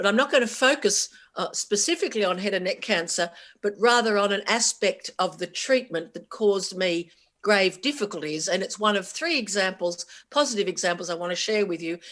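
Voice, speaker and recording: A woman talks at a fairly quick pace with an Australian accent. Her pitch is medium and her intonation lively. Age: 60s. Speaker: keynote speaker, cancer survivor, journalist. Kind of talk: conference keynote talk. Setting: stage with audience.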